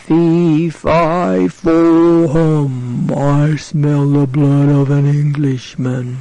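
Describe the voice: Using a put-on character voice at a fairly high pitch, a man talks at a very slow pace with hardly any pauses over light background noise.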